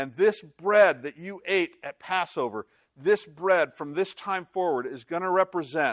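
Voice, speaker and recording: The recording is very clean, with a silent background and a dry, close sound with no echo. A man speaks at a high pitch with ordinary pitch variation and a fairly slow pace. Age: 60s. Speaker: pastor. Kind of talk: sermon. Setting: church. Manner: animated.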